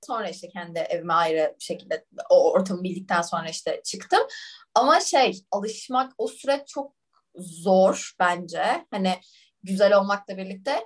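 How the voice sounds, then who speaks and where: The voice is somewhat breathy, with lively intonation. It moves at a fairly slow pace. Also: woman, medium pitch for a woman. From Turkey. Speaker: management consultant. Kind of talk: casual interview.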